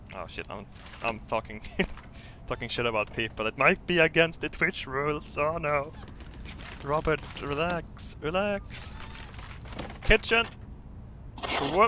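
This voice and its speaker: With a Swedish accent and lively intonation, a man speaks at a fairly high pitch and a fairly slow pace, pausing long and often over noticeable background noise. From Sweden. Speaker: gaming streamer. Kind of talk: casual live-stream commentary. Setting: live stream. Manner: animated, halting with repetitions.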